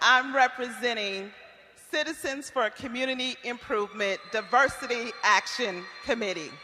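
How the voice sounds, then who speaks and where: A woman's high-pitched voice with an American accent, at a moderate pace, over noticeable background noise. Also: ordinary pitch variation. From Iowa, Waterloo. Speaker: community activist. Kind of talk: testimony at public forum. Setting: stage with audience.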